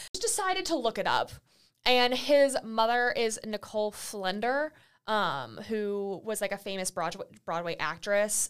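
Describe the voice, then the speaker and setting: A woman's normal speaking voice at medium pitch, with lively intonation and a moderate pace, on a very clean recording with a silent background. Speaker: college student podcast co-host. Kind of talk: casual chat.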